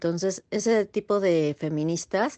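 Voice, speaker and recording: A woman speaks in a plain, everyday voice at a fairly slow pace. The sound is dry and close with no echo, against a quiet background. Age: 30s. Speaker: assistant. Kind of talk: recorded interview answers.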